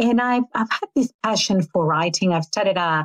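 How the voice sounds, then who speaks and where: A woman with an Australian accent at a moderate pace, with ordinary pitch variation and a dry, close sound with no echo. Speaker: author. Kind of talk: interview. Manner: halting, repeats words.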